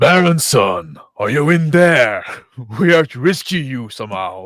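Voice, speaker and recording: A loud, gruff put-on character voice moves at a moderate pace on a very clean recording with a silent background. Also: man, medium pitch for a man. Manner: loud, calling out.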